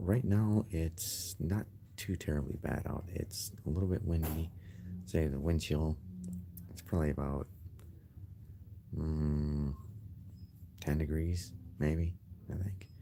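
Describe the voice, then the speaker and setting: Very deep and low in pitch, a man speaks in a somewhat breathy, dark, mellow tone at a very slow pace, with ordinary pitch variation and long, frequent pauses. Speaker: gamer vlogger. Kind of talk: casual vlog. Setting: library. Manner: quieter than normal.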